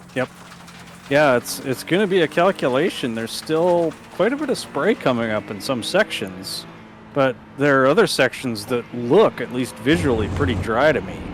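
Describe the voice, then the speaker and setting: Very wide pitch swings over noticeable background noise. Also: man, medium pitch for a man, moderate pace. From Canadian prairies. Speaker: sim racing commentator. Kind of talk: live commentary.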